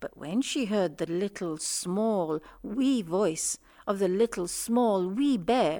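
This is plain reading aloud. The words are read out simply.

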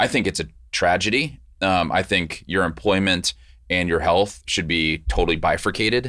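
On a very clean recording with a silent background, a man speaks at a very deep, low pitch with vocal fry and a bright, sharp tone. His intonation is lively, his pace moderate and his loudness very even. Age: 40s. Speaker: healthcare startup founder. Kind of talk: podcast interview.

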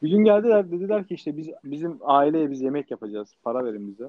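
Very wide pitch swings from a man speaking fairly quickly. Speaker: podcast co-host, restaurant owner abroad. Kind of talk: casual chat. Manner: animated; halting.

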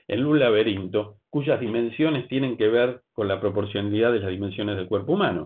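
At a moderate pace, a man with a normal speaking voice talks in a medium pitch with lively intonation. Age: 60s. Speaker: pastor. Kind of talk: sermon.

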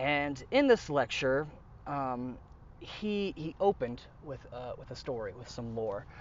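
A man's ordinary speaking voice in an American accent, medium in pitch, at a fairly slow pace, with big swings in loudness. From United States. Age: young. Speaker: military veteran and shaman. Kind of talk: casual chat.

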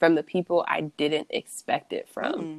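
A woman with an American accent speaks fairly slowly in an ordinary speaking voice, pitched fairly low with fairly even intonation. The recording is very clean, with a silent background and a dry, close sound with no echo. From US Midwest (Columbus, Ohio). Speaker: artist. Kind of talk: casual interview.

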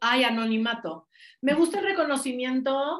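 A woman speaks in an energetic tone. Her intonation is lively. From Mexico. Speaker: life coach. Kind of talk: interview.

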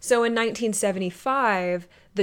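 An ordinary speaking voice from a woman, with ordinary pitch variation, on a very clean recording with a silent background. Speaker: podcast host. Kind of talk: true crime storytelling.

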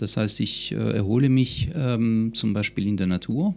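A man talks very slowly at a medium pitch, and his pitch varies in an ordinary way. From France (Lyon), moved to Munich at 13-14. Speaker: psychologist and stress coach. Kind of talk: interview conversation.

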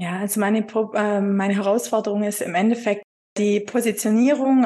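This woman's pitch is fairly high. Her intonation stays fairly even. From Upper Swabia, southern Germany. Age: 40s. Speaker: virtual assistant, former insurance clerk. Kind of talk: being coached, conversational. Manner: hesitant, many fillers.

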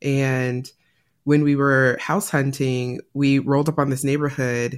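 This woman's voice sits very deep and low, moving at a moderate pace. The recording is very clean and the background silent. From California. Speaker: tech career coach. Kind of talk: interview.

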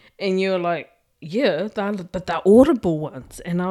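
A woman with a New Zealand accent, medium pitch, ordinary pitch variation and a fairly slow pace, in a very clean recording with a silent background. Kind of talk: casual chat.

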